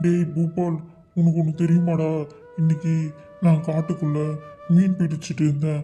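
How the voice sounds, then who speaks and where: Over faint background music, a put-on character voice talks at a middle pitch in a flat monotone and a fairly slow pace. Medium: read story.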